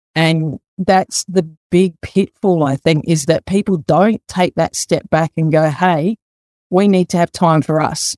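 A woman's fairly low, dark, mellow voice in an Australian accent, fairly slow and very even in loudness, with fairly even intonation and a dry, close sound with no echo. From South Australia, Adelaide. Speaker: master plumber and mental health field officer. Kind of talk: casual interview.

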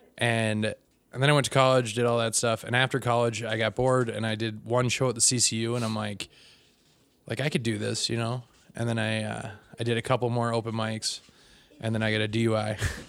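A man with an American accent speaks at a fairly quick pace in a monotone, flat intonation. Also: medium pitch for a man. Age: 30s. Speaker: comedian. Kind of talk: casual chat.

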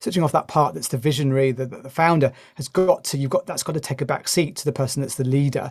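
A man with a British accent at a fairly high pitch and very fast pace, somewhat breathy, with big swings in loudness and ordinary pitch variation, in a very clean recording with a silent background. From UK. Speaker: consultant and former teacher. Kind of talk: casual interview conversation.

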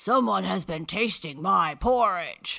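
A man puts on a growling character voice with a high pitch and very wide pitch swings. He speaks at a fairly slow pace.

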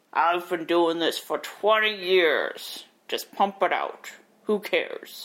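In a put-on character voice, the speaker delivers gravelly, middle-pitched lines at a very slow pace. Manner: jaded, dismissive.

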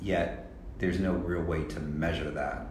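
A man's very deep, low voice at a fairly slow pace, with audible room echo and noticeable background noise. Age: 60s. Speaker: fashion consultant. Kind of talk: casual chat. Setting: in person interview at a fashion week in Tokyo.

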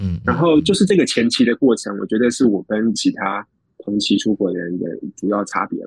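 A man with a plain, everyday voice talks at a fairly quick pace and fairly low pitch. The sound is dry and close, with no echo. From Taiwan. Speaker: author and tech worker. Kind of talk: interview. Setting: long-distance remote call.

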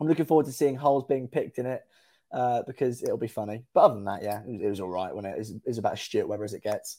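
On a very clean recording with a silent background, a man with an English accent talks at a very fast pace in a dark, mellow tone, his medium pitch showing ordinary variation. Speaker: football fan guest. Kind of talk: casual chat.

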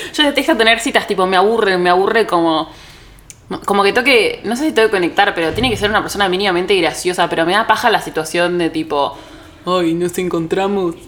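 In a Rioplatense accent, a woman talks at a fairly quick pace with lively intonation, over noticeable background noise. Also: medium pitch for a woman. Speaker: podcast co-host, content creator and photographer. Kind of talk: casual chat. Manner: animated.

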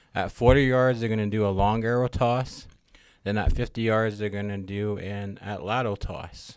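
With an American accent and an ordinary speaking voice, a man speaks at a moderate pace, his fairly low pitch held in fairly even intonation. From Blackfeet reservation, Montana. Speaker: Native games organizer. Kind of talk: casual chat. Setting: studio.

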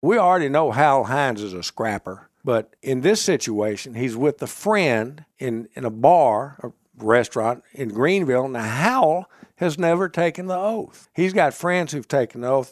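A man with a Mississippi accent talks at a moderate pace in a fairly high pitch with very wide swings. The recording is very clean with a silent background and a dry, close sound with no echo. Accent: Southern US (Mississippi). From US South, Mississippi (Marshall County). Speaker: author, historian. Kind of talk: interview storytelling.

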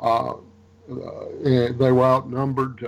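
Over noticeable background noise, a man talks at a medium pitch in an American accent. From Louisiana, US South. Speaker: military historian and author. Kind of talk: interview.

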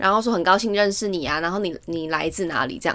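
On a very clean recording with a silent background, a woman talks at a fairly quick pace. She has an unremarkable speaking voice at a medium pitch. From Taiwan. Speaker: podcast co-host. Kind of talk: casual chat. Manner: laughs often.

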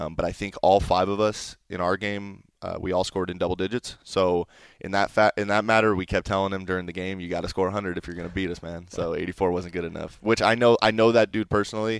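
A man speaks very fast with hardly any pauses in a flat monotone, recorded very cleanly against a silent background with a dry, close sound and no echo. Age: 20s. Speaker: esports player. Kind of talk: interview.

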